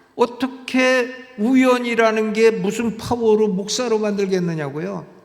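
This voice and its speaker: A man's voice with audible room echo. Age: 70s. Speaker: pastor. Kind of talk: sermon. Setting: church. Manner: conversational, with filler sounds.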